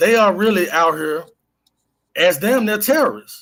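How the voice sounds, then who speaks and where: Lively in intonation, a man's voice comes through in a very clean recording with a silent background. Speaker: livestream host. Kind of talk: casual livestream commentary. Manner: fast; animated.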